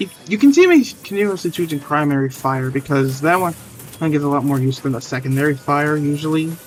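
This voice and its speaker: A man talking at a very fast pace, his loudness swinging widely, with noticeable background noise. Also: fairly high pitch for a man, ordinary pitch variation. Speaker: gaming streamer. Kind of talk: live gameplay commentary. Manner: stuttering; halting, casual.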